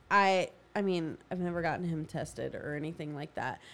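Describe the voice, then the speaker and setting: Recorded very cleanly with a silent background, a woman speaks in a normal speaking voice at a fairly low pitch and a fairly quick pace. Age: 30s. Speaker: podcast co-host, mother. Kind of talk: casual chat.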